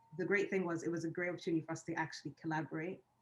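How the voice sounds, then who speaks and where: Speaking at a very fast pace, a woman keeps a fairly low pitch and fairly even intonation. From Sweden, Ugandan heritage. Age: 30s. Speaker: filmmaker. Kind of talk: online conversation. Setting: video call.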